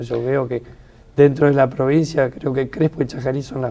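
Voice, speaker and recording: This man has a dark, mellow tone. His pitch sits fairly high. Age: 60s. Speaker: retired biochemist and author. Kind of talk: reading aloud; interview.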